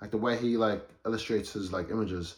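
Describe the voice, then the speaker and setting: At a medium pitch, a man speaks with a New Zealand accent. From New Zealand, South Auckland. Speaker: photographer, creative. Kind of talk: casual chat.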